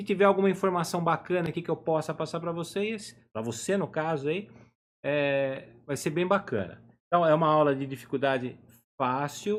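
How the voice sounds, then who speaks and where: A man with an unremarkable speaking voice, fairly high pitch, ordinary pitch variation and a moderate pace. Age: 50s. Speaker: drawing teacher. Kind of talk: live online lesson. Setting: home office, live stream.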